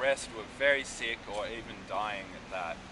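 A man speaks against noticeable background noise. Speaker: walking tour guide. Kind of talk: tour guide commentary. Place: street. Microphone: phone near.

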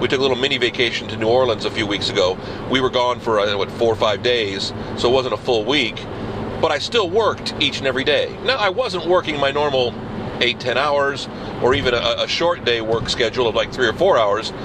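A man talks at a fairly quick pace, with noticeable background noise all around. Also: ordinary pitch variation. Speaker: video blogger. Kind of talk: casual video blog monologue. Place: car. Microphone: phone near.

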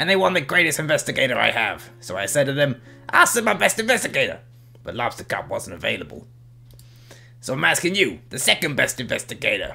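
With music in the background, a man uses a put-on character voice, talking very fast at a fairly high pitch. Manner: voice slipping, yells the case title; casual, chatty, upbeat.

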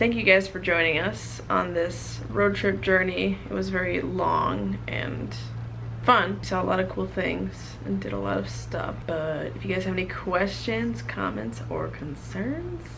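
Noticeable background noise runs under this clip. A woman speaks at a fairly slow pace. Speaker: vlogger. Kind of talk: casual vlog chat. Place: home room. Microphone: phone near.

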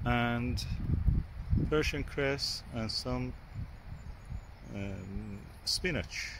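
The man's delivery is very slow in pace.

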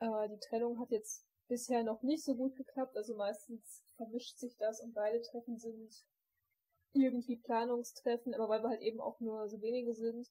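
Flat and monotone, a woman's fairly high voice has a dark, mellow tone at a moderate pace. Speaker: scout group leader, podcast host. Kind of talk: casual chat, podcast. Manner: hesitant, many fillers.

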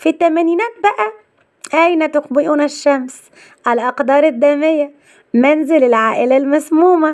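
Over music in the background, a woman with a Cairo accent speaks at a high pitch and a fairly slow pace, with ordinary pitch variation and very even loudness. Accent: Egyptian Arabic (Cairene). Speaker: YouTube channel presenter. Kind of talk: narrated celebrity biography. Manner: list-like reading of film titles.

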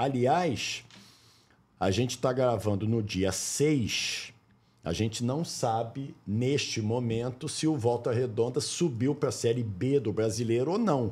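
At a fairly slow pace, a man speaks in a somewhat breathy voice of medium pitch, with ordinary pitch variation and very even loudness. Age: 60s. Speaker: sports broadcaster and podcast host. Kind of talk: casual interview. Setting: studio.

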